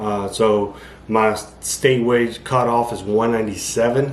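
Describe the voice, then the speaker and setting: A man mumbles at a medium pitch in a monotone, flat intonation. Room echo is audible. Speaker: amateur bodybuilder vlogger. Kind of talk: casual vlog monologue. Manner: mumbling, rambling with fillers.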